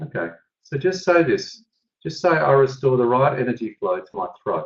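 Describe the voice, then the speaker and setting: A man talks at a moderate pace with a fairly high pitch. His voice carries vocal fry and very wide pitch swings. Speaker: energy tapping therapist, webinar teacher. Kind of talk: webinar coaching session. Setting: online webinar.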